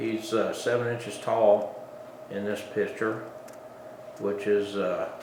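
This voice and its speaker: Noticeable background noise and audible room echo surround a man who talks at a fairly slow pace. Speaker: woodcarver. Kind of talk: tutorial.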